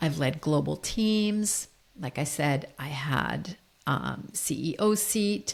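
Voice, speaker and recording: A woman's very deep, low voice with an American accent, vocal fry and lively intonation. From United States. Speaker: leadership coach. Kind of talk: solo podcast monologue.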